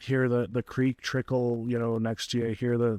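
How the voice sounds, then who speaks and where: A man speaks at a moderate pace and medium pitch. The sound is dry and close with no echo, over a quiet background. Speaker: podcast co-host. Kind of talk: casual chat.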